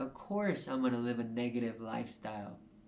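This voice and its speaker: A man's medium-pitched voice carries audible echo from the room. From New Mexico, Albuquerque. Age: 20s. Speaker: podcast host. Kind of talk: personal monologue. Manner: halting.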